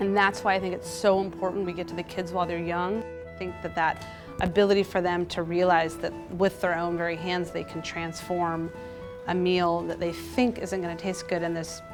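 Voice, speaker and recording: Moderately paced speech from a woman, backed by music. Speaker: cooking teacher and nutritionist. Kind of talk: interview answer.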